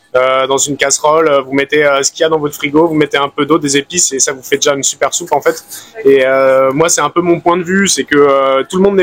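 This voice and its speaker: Speaking at a very fast pace, a man keeps his intonation fairly even. The sound is dry and close with no echo. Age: 30s. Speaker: fruit and vegetable seller. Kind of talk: street interview. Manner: hesitant, many fillers.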